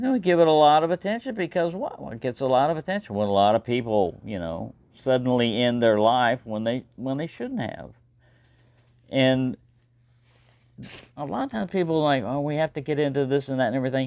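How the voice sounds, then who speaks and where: A woman with a very deep, low voice talks at a fairly quick pace, her intonation lively. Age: 60s. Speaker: knife collector vlogger. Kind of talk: casual monologue. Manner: rambling, hesitant with repetitions.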